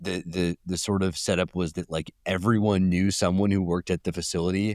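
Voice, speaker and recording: In a Californian accent, a man speaks with a very deep, low pitch, the sound dry and close with no echo. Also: very clean recording, silent background. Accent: California. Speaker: journalist. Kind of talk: podcast interview. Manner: halting, many fillers and repeats.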